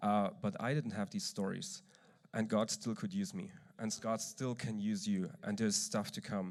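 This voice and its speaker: A man's medium-pitched voice with an East German accent and very wide pitch swings. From eastern Germany. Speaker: church leader speaking at a conference. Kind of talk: conference talk.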